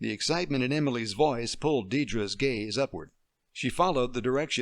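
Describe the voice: Quiet background, plain reading aloud, and ordinary pitch variation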